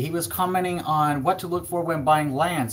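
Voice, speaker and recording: A man speaks in a fairly high pitch. There is noticeable background noise. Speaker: real estate agent. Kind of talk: live stream Q&A. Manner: fast; animated.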